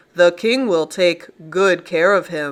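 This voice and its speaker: A put-on character voice at middle pitch and a fairly slow pace. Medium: read story. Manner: curt.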